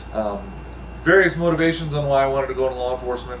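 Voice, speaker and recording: Speaking at a very fast pace with an American accent, a man comes through audible room echo and noticeable background noise. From US Midwest. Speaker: former police officer, army veteran. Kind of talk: interview. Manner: halting, many fillers.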